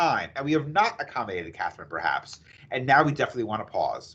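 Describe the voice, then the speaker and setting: Speaking very fast in an American accent, a man has a bright, sharp tone. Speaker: employment attorney presenter. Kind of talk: webinar presentation. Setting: video call webinar.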